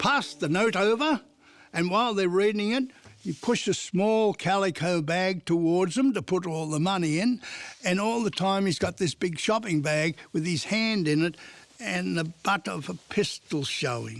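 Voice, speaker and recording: A man with an Australian accent speaks at a moderate pace in a high pitch. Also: ordinary pitch variation. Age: 80s+. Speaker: retired police fingerprint expert. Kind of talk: documentary interview.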